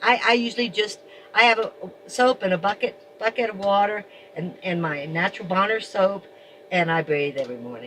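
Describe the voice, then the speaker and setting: Against noticeable background noise, a woman of medium pitch talks at a fairly quick pace with lively intonation, though with long, frequent pauses. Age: 70s. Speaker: van dweller. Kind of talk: casual chat.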